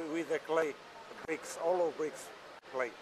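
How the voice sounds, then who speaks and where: A man talks in a fairly high voice with noticeable background noise behind him. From Portugal. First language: Portuguese. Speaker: machinery exhibitor. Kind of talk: interview. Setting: trade fair exhibition hall. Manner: halting, hesitant English.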